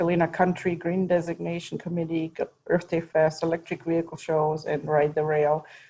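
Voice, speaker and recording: With a German accent, a woman speaks at a fairly quick pace. Her fairly low voice has a dark, mellow tone. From Germany. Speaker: county board member. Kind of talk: public presentation.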